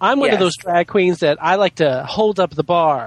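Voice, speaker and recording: A man uses a theatrical tone at a high pitch with lively intonation. The sound is dry and close, with no echo. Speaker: podcast guest, drag queen. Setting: online voice call with echo and feedback. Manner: exaggerated, theatrical inflections; campy, addresses others as darling.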